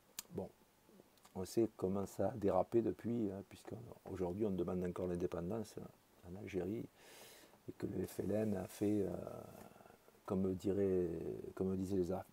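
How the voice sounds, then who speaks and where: A man's very deep, low voice with a dark, mellow tone, fairly even intonation, a fairly slow pace and long, frequent pauses. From France, Marseille. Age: 60s. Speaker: political commentator. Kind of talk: personal monologue. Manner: halting, many hesitations.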